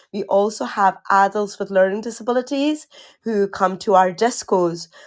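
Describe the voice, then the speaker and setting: A woman with a Glasgow accent speaks at medium pitch and a moderate pace, with ordinary pitch variation and a quiet background. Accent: Scottish, Glasgow. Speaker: occupational therapist and community founder. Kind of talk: interview. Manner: loud; energetic.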